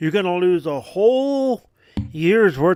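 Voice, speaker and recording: A man speaks loudly with very wide pitch swings in a dry, close sound with no echo. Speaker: gaming streamer. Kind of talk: casual gameplay commentary. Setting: home, streaming. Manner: halting, many fillers.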